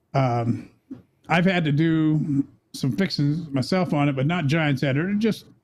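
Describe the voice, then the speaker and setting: This man speaks slowly-ish with a fairly high pitch, ordinary pitch variation, very even loudness, an ordinary speaking voice, and an American accent. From US Midwest, Kansas City suburbs. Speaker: video game streamer. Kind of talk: casual interview chat.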